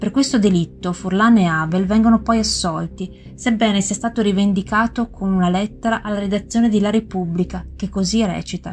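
A woman of medium pitch delivers a dramatic tone at a fairly quick pace with hardly any pauses and fairly even intonation, while noticeable background noise sits behind her. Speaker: true-crime podcast narrator. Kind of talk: true-crime narration. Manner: grave, measured, formal; steady, dramatic, matter-of-fact.

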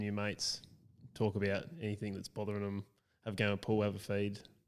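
A man with an Australian accent, fairly low in pitch, in monotone, flat intonation at a fairly quick pace, on a very clean recording with a silent background. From rural South Australia. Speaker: founder of a men's support group. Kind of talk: casual chat. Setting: recorded at the guest's home with mobile kit.

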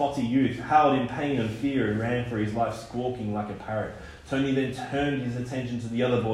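The recording features reading aloud in a natural voice.

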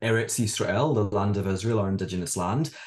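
A man's fairly low, somewhat breathy voice in a Scottish accent, very fast, with fairly even intonation. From Scotland. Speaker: author and educator. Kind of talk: interview about his book.

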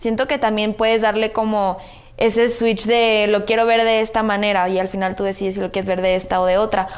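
A woman's fairly high voice in a monotone, flat delivery at a fairly quick pace. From Guadalajara, Mexico. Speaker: social media influencer. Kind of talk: casual chat.

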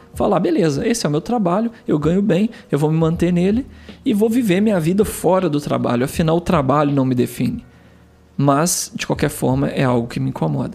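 Speaking at a fairly quick pace, a man with a high pitch has a calm, relaxed delivery and a dark, mellow tone. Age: 30s. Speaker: podcast host. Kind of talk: casual monologue.

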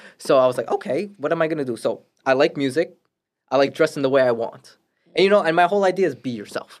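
Very fast delivery from a man with a New York accent, fairly high in pitch, with ordinary pitch variation. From Brooklyn, New York. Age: 20s. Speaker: real estate agent. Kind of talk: casual chat.

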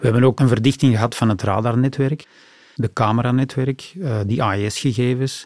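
A man talks at a moderate pace with long, frequent pauses on a very clean recording with a silent background. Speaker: port authority digital executive. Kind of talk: interview conversation. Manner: animated.

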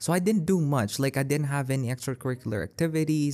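On a very clean recording with a silent background, a man of medium pitch speaks in an animated tone with lively intonation. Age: 19. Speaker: podcaster and poet. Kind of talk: casual solo podcast monologue. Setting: library breakout room. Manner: animated, frequent laughs and fillers.

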